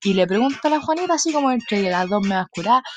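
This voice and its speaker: A woman in a Chilean accent, lively intonation, noticeable background noise. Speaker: podcaster. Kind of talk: casual monologue. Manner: animated.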